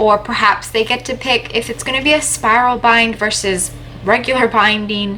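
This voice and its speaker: A woman with a Canadian accent speaks at a fairly high pitch with fairly even intonation. Noticeable background noise is present. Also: moderate pace. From Canada. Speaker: YouTuber giving writing and publishing tips. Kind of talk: tutorial.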